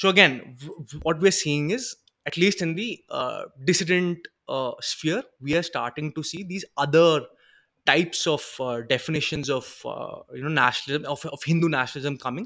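The tone is bright and sharp, with big swings in loudness and long, frequent pauses. The recording is very clean with a silent background. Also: man, fairly high pitch for a man, ordinary pitch variation, fairly quick pace. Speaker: podcast host. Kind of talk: casual solo talk on politics. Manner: halting, many fillers.

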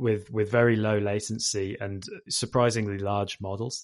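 A man with a British accent talks at a moderate pace in a fairly low voice with fairly even intonation. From UK. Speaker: machine learning engineer. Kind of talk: interview. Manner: hesitant with fillers.

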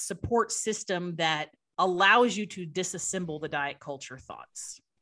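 Over a quiet background, a woman talks at a fairly slow pace with lively intonation and a bright, sharp tone. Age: 40s. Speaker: nutrition expert. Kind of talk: interview.

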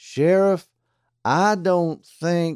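Doing a put-on character voice, a man drawls in a high pitch with monotone, flat intonation. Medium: read story. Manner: slow drawl.

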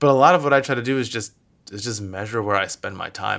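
A man's voice has a bright, sharp tone and ordinary pitch variation. The recording is very clean, with a silent background. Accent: American. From Michigan, US. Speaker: venture capital investor. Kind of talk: interview.

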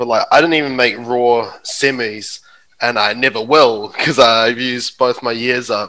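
Using a New Zealand accent, a man with a medium pitch and a bright, sharp tone speaks at a moderate pace with fairly even intonation. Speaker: stand-up comedian. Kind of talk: casual chat. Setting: video call.

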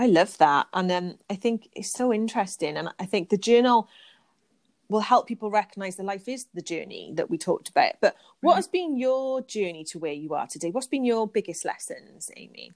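In a very clean recording with a silent background, a woman of medium pitch with a British accent makes very wide pitch swings and big swings in loudness. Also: moderate pace, dry, close sound with no echo. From UK. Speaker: podcast host. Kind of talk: casual interview chat; scripted narration.

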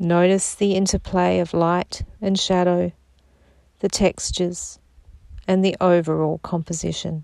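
A woman speaks in a calm, soothing, dark and mellow tone at a fairly low pitch, flat and monotone, fairly slow with long, frequent pauses and very even loudness, on a very clean recording with a silent background. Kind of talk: guided meditation. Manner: slow, calm, soothing with long silent pauses.

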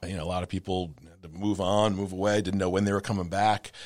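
Very deep and low in pitch, a man with an American accent speaks in a monotone, flat intonation on a very clean recording with a silent background. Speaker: food writer and radio commentator. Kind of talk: casual interview conversation. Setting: studio. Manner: chatty, laughs often, halting with repeated words.

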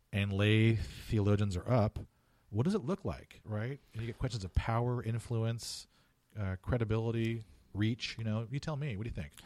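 A man with a Californian accent at medium pitch, moderate pace and ordinary pitch variation, in a very clean recording with a silent background. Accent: Californian American. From Southern California (Orange County). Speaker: theology and English professor. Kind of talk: casual interview. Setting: office. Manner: halting, with frequent repetitions.

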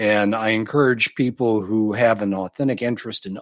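The man speaks at a fairly low pitch with fairly even intonation. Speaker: podcast guest, author. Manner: measured, slow speaker.

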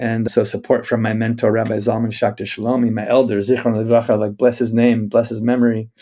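A man with an American accent has a dark, mellow tone and speaks at a fairly quick pace in a monotone, flat way, with hardly any pauses. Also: medium pitch for a man. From US Northwest (Spokane, Washington). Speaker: rabbi and nature-based educator. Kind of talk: interview conversation. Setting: office in the forest.

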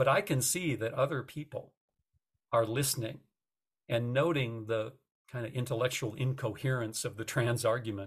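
An American-accented man at medium pitch, somewhat breathy, at a moderate pace with ordinary pitch variation and long, frequent pauses. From United States. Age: 60s. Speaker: retired journalism professor. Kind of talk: interview.

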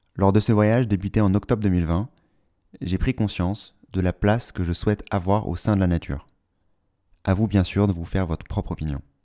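Dry and close with no echo, a man's fairly low, dark, mellow voice runs at a fairly quick pace with fairly even intonation and long, frequent pauses. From Paris, France. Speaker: podcast host. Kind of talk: solo monologue.

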